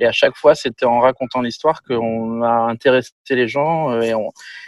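With a plain, everyday voice, a man of medium pitch talks at a moderate pace and fairly even intonation, the sound dry and close with no echo. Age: 40s. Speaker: film and TV director. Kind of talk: casual interview. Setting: video call.

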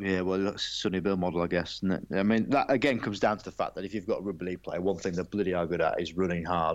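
A man with an English accent speaks at a very fast pace, barely pausing. His voice is very deep and low, and his intonation stays fairly even. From England. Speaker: former rugby sevens player and broadcaster. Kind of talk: casual interview.

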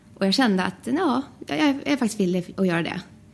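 Somewhat breathy, a woman's voice holds a medium pitch. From Sweden, Västerås. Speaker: flight attendant. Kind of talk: casual interview. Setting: studio.

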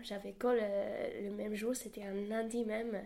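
Over noticeable background noise, a woman talks at a fairly high pitch with monotone, flat intonation. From New Zealand. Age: 20s. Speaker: university student. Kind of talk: interview.

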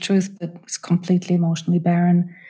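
A woman's fairly low, dark, mellow and somewhat breathy voice at a fairly quick pace. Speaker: holistic counselor and grief author. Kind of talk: interview, personal testimony. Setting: remote call. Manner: soothing.

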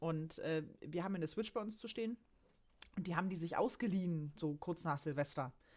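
Fairly quick delivery in a normal speaking voice, its pitch varying in an ordinary way. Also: woman, fairly low pitch for a woman. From Saxony-Anhalt, Germany. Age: 30s. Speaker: financial accountant. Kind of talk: casual chat.

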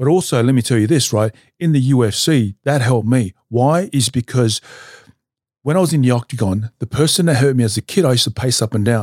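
On a very clean recording with a silent background and a dry, close sound with no echo, a man with an Australian accent speaks at medium pitch and a fairly quick pace, with ordinary pitch variation and very even loudness. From Australia, Newcastle NSW. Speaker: retired mixed martial artist. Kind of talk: casual interview.

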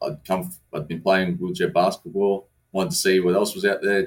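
A man talks with an Australian accent. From Australia, southwest Sydney. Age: 30s. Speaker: wheelchair rugby league captain. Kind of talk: casual chat. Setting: studio.

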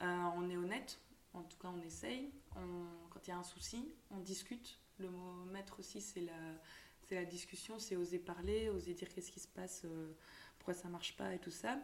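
A woman's fairly low voice at a moderate pace, with ordinary pitch variation and long, frequent pauses. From Belgium, Tournai. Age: 20s. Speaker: shop owner. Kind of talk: interview.

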